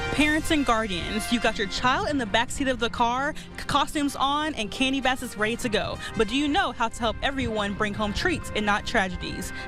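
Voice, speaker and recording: With music in the background, a woman speaks fairly quickly in a high pitch, her upbeat tone and lively intonation flowing with hardly any pauses. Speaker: television news reporter. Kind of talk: TV news reporter delivery. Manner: upbeat, friendly.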